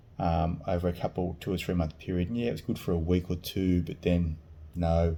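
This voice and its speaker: With an Australian accent, a man speaks at a moderate pace in a dark, mellow tone and a very deep, low pitch. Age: 50s. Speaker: vlogger sharing surgery experience. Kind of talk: personal testimony vlog. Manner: halting.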